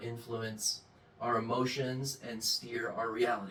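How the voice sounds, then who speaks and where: A medium-pitched male voice at a fairly slow pace, amid noticeable background noise. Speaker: self-help channel host. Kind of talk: monologue. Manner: mild speech impediment, barely noticeable.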